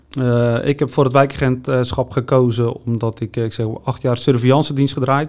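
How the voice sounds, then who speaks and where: The man's tone is dark and mellow. His delivery is monotone and flat, at a moderate pace. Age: 40s. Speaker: neighbourhood police officer. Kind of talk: interview.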